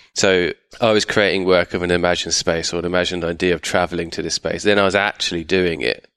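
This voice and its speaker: Speaking very fast in a southern English accent, a man delivers a very deep, low, monotone voice with flat intonation, the sound dry and close with no echo and a quiet background. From England, outside London. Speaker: artist. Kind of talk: interview. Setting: artist's studio.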